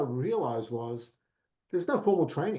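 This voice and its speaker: With an Australian accent, a man speaks at a medium pitch and a fairly quick pace. His voice is somewhat breathy, with lively intonation. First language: Italian. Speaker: professional services executive. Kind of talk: podcast interview. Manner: hesitant, with fillers.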